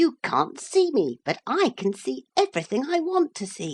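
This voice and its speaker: A put-on character voice with very wide pitch swings, delivered at a moderate pace. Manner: sharp, scheming, brisk.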